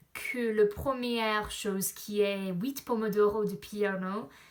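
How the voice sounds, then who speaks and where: Using an English accent, a woman with fairly high pitch speaks at a very slow pace. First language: English (speaking French). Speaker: language learner vlogger. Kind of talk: vlog. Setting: outdoors in a park. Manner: halting, many hesitations.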